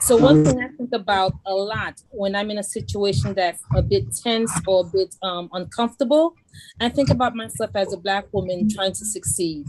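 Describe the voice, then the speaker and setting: A woman with a Haitian accent and medium pitch talks at a moderate pace with lively intonation. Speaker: judge. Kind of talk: panel discussion. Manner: animated.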